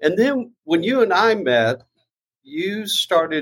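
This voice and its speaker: Talking at a very slow pace, the man's pitch swings very widely. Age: 60s. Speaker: nonprofit founder and fundraiser. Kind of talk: casual interview.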